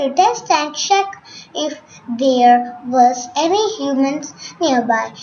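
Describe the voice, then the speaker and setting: Against noticeable background noise, a woman with a high pitch and a calm tone speaks at a very slow pace. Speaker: storyteller. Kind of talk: bedtime story narration, read aloud to children in a gentle storytelling style. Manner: calm, measured, expressive storyteller pacing with clear simple phrasing.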